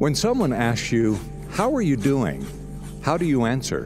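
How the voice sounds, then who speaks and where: A man speaks with lively intonation. Music is clearly heard in the background. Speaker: radio broadcast announcer and message writer. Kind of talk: radio spoken-word inspirational message.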